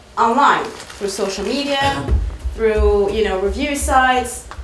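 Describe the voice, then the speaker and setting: Speech at a fairly slow pace comes through audible room echo and noticeable background noise. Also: woman. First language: French. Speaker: marketing speaker. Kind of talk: presentation.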